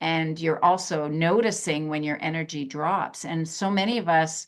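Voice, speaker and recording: A woman speaking over a quiet background. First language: German. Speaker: psychotherapist. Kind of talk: interview.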